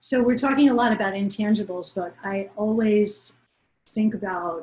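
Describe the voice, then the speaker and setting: Somewhat breathy, a woman speaks with an American accent and ordinary pitch variation. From New York. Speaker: panel moderator. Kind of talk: panel discussion.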